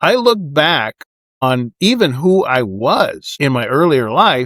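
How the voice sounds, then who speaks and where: A man's fairly high voice with very wide pitch swings, at a very slow pace, in a dry, close sound with no echo. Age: 60s. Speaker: expat vlogger. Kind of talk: casual monologue to camera. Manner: conversational.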